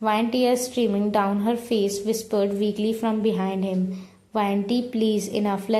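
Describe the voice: The text is read aloud plainly. Its intonation stays fairly even.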